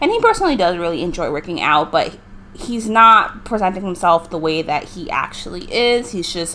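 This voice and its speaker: Noticeable background noise accompanies a woman whose fairly low voice shows ordinary pitch variation. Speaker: gaming youtuber. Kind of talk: gameplay commentary. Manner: fast.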